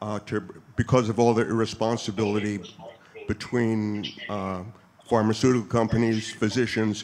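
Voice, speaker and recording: Noticeable background noise sits behind a man with a fairly low pitch and flat, monotone intonation. He keeps a moderate pace, with long, frequent pauses. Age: 70s. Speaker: military veteran. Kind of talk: question at town hall.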